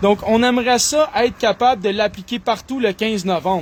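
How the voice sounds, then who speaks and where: A man's high voice in a Quebec accent, with ordinary pitch variation at a moderate pace. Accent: Québécois French. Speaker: online commentator. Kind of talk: solo monologue reading and commenting news articles. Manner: animated.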